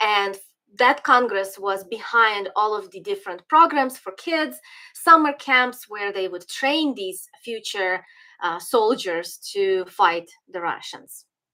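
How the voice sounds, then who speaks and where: Speaking at a very slow pace with a Ukrainian accent, a woman has a fairly high, bright and sharp voice with lively intonation and big swings in loudness. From western Ukraine (Galicia, Lviv area). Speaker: political commentator. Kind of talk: livestream commentary. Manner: hesitant, many fillers and restarts.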